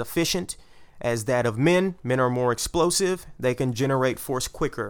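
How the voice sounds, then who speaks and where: At a moderate pace, a man speaks at a medium pitch in a normal speaking voice. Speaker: podcast host. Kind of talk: casual banter then research explainer.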